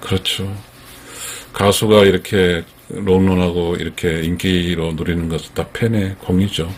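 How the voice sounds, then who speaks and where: Over noticeable background noise, a man with a very deep, low pitch talks at a fairly slow pace in a monotone, flat intonation. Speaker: fan commentator. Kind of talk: casual commentary talk to camera.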